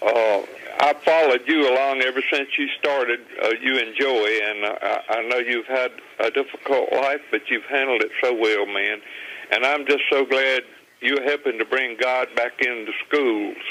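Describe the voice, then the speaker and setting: Against noticeable background noise, a man with a Southern US accent talks at a moderate pace and medium pitch, with very even loudness and fairly even intonation. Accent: US South. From Virginia. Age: 70s. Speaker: caller. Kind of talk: phone-in call. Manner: halting, stammering.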